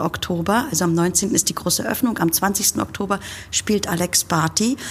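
Background noise is noticeable here. Over it, a woman talks in a medium pitch. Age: 50s. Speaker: puppet theatre festival director. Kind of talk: interview.

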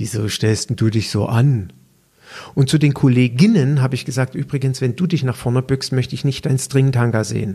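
A man talks at a moderate pace and medium pitch. His pitch varies in an ordinary way, in a plain, everyday voice. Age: 50s. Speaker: personal trainer and podcast host. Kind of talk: solo podcast monologue.

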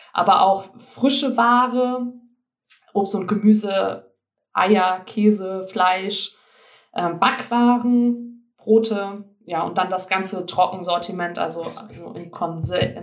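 A woman talks very slowly, her medium pitch showing ordinary pitch variation. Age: 20s. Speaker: organic shop owner. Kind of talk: interview.

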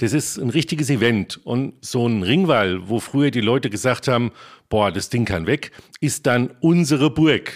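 The man has an unremarkable speaking voice at a medium pitch, with lively intonation and a moderate pace. The recording is very clean, with a silent background. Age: 50s. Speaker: historian and archaeology project leader. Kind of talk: interview.

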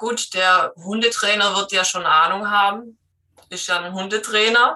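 Speaking somewhat slowly, a woman holds a medium pitch, her intonation staying fairly level. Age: 30s. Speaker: trainee dog trainer, dog owner. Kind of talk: interview. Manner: hesitant, many filler sounds.

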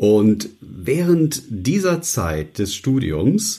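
A man speaks with a dark, mellow tone that is somewhat breathy. His pitch swings very widely. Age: 60s. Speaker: news announcer and voice coach. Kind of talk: interview.

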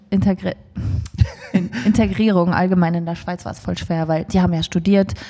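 Against noticeable background noise, a woman talks at a fairly quick pace and fairly low pitch, with ordinary pitch variation and long, frequent pauses. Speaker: musician. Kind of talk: casual interview.

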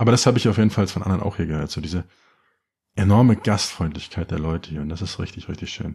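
Over a quiet background, a man talks at a very fast pace in a fairly low pitch, his tone dark and mellow and somewhat breathy. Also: ordinary pitch variation. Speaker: podcast host. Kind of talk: solo podcast monologue. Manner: casual, joking.

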